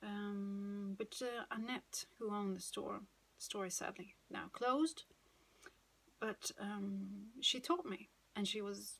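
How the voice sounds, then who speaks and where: With a Swedish accent, a woman speaks. Her pace is very slow. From Sweden. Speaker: knitting podcaster. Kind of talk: casual monologue. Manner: hesitant, many fillers.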